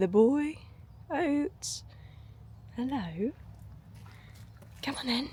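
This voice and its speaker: In an English accent, a woman with a high pitch and a dark, mellow tone speaks at a very slow pace, using very wide pitch swings and long, frequent pauses. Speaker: online coach and vlogger. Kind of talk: casual vlog. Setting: outdoors. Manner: soft-spoken.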